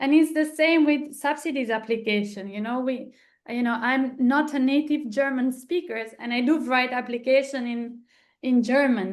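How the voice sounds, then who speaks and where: Speaking at a moderate pace, a woman with an Italian accent has a high pitch and ordinary pitch variation. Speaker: arts foundation co-founder. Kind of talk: online seminar discussion.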